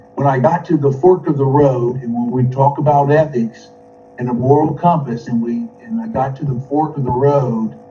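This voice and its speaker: Music in the background behind a man's fairly high voice, ordinary pitch variation and a moderate pace. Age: 60s. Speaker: former corporate executive and FBI informant, speaker. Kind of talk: webinar talk. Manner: halting.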